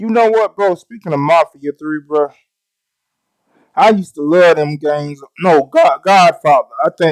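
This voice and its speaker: An animated man with a Southern US accent and a high pitch, at a moderate pace with long, frequent pauses and ordinary pitch variation, in a dry, close sound with no echo. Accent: Southern US, country. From US South, Mississippi. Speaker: gaming streamer. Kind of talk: live stream tutorial, casual chat. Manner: casual, animated.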